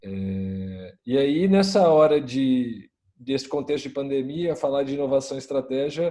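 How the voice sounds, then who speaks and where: A man's fairly high voice with a dark, mellow tone, at a fairly slow pace. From Brazil, Minas Gerais. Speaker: innovation consultant. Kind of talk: panel discussion.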